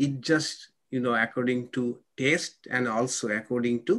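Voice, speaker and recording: Very slowly, a man is speaking. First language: not English. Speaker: monk and spiritual teacher. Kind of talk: spiritual lecture with Q&A. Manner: halting.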